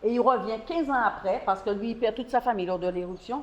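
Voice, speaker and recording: A fairly high-pitched woman's voice at a very fast pace, with ordinary pitch variation and noticeable background noise. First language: French. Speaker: distillery tour guide. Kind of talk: guided tour talk.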